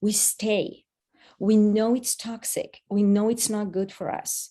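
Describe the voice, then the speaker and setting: A woman's dark, mellow voice at a fairly slow pace with a slight Israeli accent, over a quiet background. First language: Hebrew. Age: 50s. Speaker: addiction advocate and speaker. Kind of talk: online workshop talk. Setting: video call. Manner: animated.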